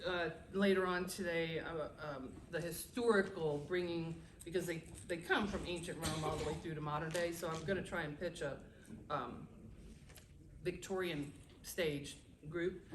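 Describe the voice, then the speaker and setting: A woman's fairly low voice with fairly even intonation and long, frequent pauses, amid noticeable background noise and audible room echo. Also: moderate pace. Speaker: romance author. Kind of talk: panel discussion. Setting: stage with audience. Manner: loud.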